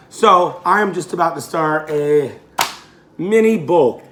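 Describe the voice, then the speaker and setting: A man's lively intonation against noticeable background noise. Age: 30s. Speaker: fitness coach. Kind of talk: casual vlog. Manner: casual, conversational.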